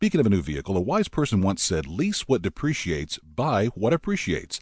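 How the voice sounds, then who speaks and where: A man's voice against a quiet background. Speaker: announcer. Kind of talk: scripted announcement and ad reads.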